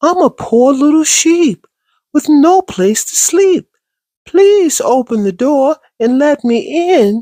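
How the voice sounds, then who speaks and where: A put-on character voice, high-pitched and fairly slow. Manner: feigning innocence.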